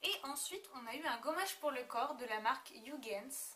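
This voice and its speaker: Raised and projected, a woman's high-pitched voice carries a bright, sharp tone with ordinary pitch variation. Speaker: beauty vlogger. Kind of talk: product review vlog. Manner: hesitant, many fillers.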